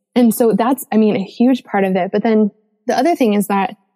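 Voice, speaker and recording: This voice carries an American accent and a dark, mellow tone at a moderate pace. Its pitch varies in an ordinary way, and the sound is dry and close with no echo. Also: woman. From Colorado, US. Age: 30s. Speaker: podcast host and author. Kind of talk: casual chat. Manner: animated.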